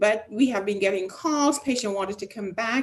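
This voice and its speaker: A woman is speaking. Her intonation is lively. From Jamaica, Westmoreland. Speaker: physician. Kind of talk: live stream health talk. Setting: live stream.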